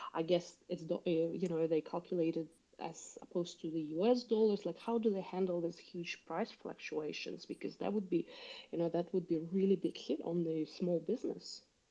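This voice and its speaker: This woman has a Russian accent and a dark, mellow tone. Her pitch is fairly low, with fairly even intonation at a moderate pace. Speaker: caller. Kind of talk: audience question. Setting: online audio space.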